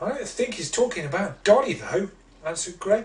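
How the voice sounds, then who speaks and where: Against noticeable background noise, a high-pitched man talks at a moderate pace with very wide pitch swings. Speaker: children's author. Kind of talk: children's story reading.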